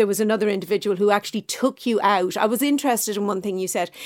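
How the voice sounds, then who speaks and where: In an Irish accent, a woman talks at a fairly quick pace with medium pitch and fairly even intonation, in a very clean recording over a silent background. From Ireland, east coast. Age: 50s. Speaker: podcast host. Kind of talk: interview.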